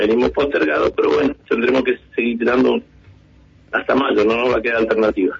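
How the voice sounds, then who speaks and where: With very even loudness, a man delivers his words at a fairly quick pace. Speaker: taxi drivers' union leader. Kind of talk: radio phone interview.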